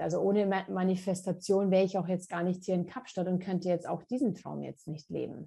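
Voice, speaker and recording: The voice has a dark, mellow tone and is somewhat breathy. Intonation stays fairly even over a quiet background. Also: woman. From Munich, Germany. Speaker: naturopath and author. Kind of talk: interview conversation. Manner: halting, many fillers and repetitions.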